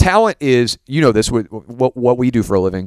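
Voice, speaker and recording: Recorded dry and close with no echo, a man with an American accent and an unremarkable speaking voice talks fairly quickly at a medium pitch. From US South. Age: 30s. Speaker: sports broadcaster. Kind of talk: casual chat.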